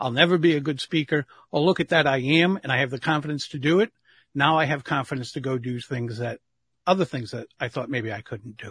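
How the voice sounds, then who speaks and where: A plain, everyday voice from a man, fairly high and fairly quick, with ordinary pitch variation, a quiet background, and dry, close sound with no echo. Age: 60s. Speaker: public speaking coach. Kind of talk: interview.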